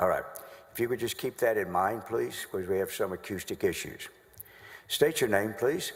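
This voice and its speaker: In a Southern US accent, a man speaks. His pace is moderate. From North Carolina. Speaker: trial lawyer. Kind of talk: courtroom examination. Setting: legislative chamber courtroom. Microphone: acoustic issues in room.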